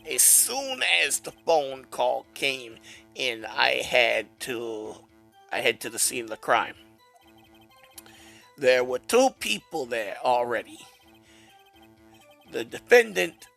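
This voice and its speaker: Over faint background music, a man does a raspy, put-on character voice at medium pitch, moving at a fairly slow pace with long, frequent pauses and big swings in loudness. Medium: fan dub. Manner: deferential, tacks on "sir" constantly.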